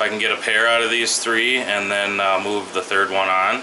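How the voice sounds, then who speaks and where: Noticeable background noise sits behind this man's voice. He talks at a moderate pace. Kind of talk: casual tour commentary. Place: home room. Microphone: phone near.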